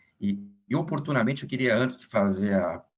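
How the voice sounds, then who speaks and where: A man speaks in an unremarkable speaking voice, with lively intonation and a fairly quick pace. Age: 60s. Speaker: physician, meeting moderator. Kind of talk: formal introduction.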